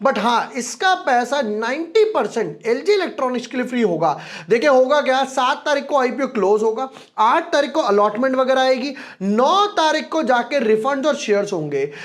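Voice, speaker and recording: The speaker's intonation is lively. The pace is fairly slow. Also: man, extremely high pitch for a man. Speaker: stock market research analyst. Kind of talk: financial analysis video. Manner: soft-spoken; casual, code-mixed Hindi-English.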